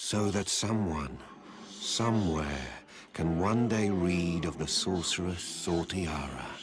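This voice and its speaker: Over clear background noise, a man does a put-on character voice at a very deep, low pitch and a fairly slow pace. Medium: video game. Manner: theatrical, knowing.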